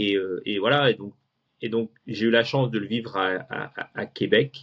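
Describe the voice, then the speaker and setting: A man talks at a fairly slow pace and a medium pitch. His intonation stays fairly even. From France, moved to Houston at 16. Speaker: guest telling his life story. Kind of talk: interview conversation. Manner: hesitant, many fillers and repetitions.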